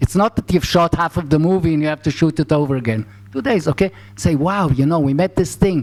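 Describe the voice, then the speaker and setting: Over noticeable background noise, a man with a fairly high pitch talks at a fairly quick pace with lively intonation, the sound dry and close with no echo. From Israel. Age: 70s. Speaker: film director. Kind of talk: master class talk. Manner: halting.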